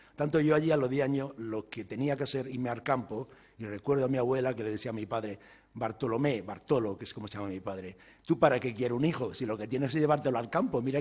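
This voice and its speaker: A man at medium pitch with a normal speaking voice, ordinary pitch variation and a fairly quick pace. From Andalusia, Spain (village in Jaén province); Andalusia. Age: 60s. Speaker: economics professor. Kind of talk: lecture. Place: hall. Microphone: podium.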